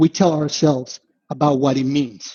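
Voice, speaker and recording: Somewhat breathy and fairly high-pitched, a man speaks at a moderate pace with ordinary pitch variation. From Venezuela. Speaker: investment analyst. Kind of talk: podcast interview.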